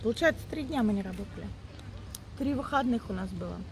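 A woman speaks at a moderate pace over noticeable background noise. The sound is dry, with no echo. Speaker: vlogger. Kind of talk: casual vlog chat. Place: open country. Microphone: phone near.

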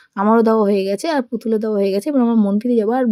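A woman speaks with a fairly high pitch and fairly even intonation. Her tone is dark and mellow, with a dry, close sound and no echo. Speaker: vlogger. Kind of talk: vlog narration. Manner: chatty.

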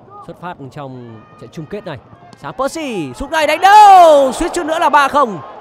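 An animated tone with very wide pitch swings and big swings in loudness, over noticeable background noise. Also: man, extremely high pitch for a man. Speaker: football commentator. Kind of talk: live sports commentary. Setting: stadium broadcast. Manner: animated, fast-paced play-by-play; formal, polished broadcast diction.

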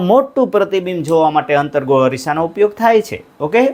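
This man speaks with lively intonation. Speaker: school teacher. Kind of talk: lecture. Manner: repetitive, drilling.

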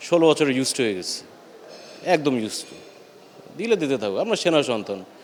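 A man's voice against noticeable background noise. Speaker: son of slain army chief. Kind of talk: news interview. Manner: halting.

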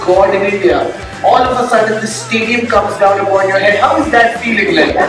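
A man speaks at a moderate pace. Noticeable background noise and strong room echo fill the recording. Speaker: emcee / anchor. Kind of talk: celebrity interview questions. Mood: playful teasing. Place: stage.

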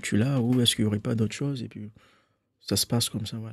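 A man talks at a very fast pace in a fairly low voice with a dark, mellow tone, the sound dry with no echo. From Mayotte. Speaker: painter and illustrator; guest. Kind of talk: radio and TV interview. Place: studio. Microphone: studio mic.

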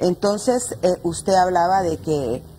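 Against light background noise, a woman's somewhat breathy voice has a dark, mellow tone. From Honduras. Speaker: feminist activist; guest. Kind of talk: panel discussion. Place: studio.

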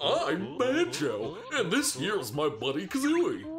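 Using a put-on character voice, a man speaks high for a man at a fairly slow pace. Loud background noise runs underneath. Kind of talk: comic voice acting. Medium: game stream. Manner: slow, dopey, earnest.

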